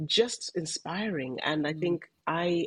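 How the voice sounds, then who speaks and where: A woman is speaking. Vocal fry runs through her voice. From Malawi. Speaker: podcast co-host, former banker. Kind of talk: interview conversation.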